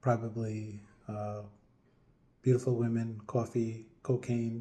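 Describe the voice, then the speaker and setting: Speaking very slowly with a New York accent, a man uses a medium pitch. His tone is dark and mellow, and somewhat breathy. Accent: American English, New York area. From upstate New York (Middletown), Colombian parents. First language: Spanish. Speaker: vlogger. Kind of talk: personal monologue vlog. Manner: hesitant, many fillers.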